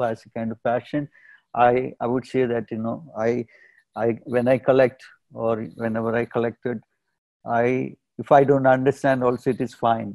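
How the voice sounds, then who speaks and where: A man talks at a moderate pace in a dark, mellow tone with monotone, flat intonation. The sound is dry with no echo, and the background is quiet. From India, Kerala. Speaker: artist and curator; guest. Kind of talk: interview. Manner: hesitant, many fillers. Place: home room. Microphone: earbuds.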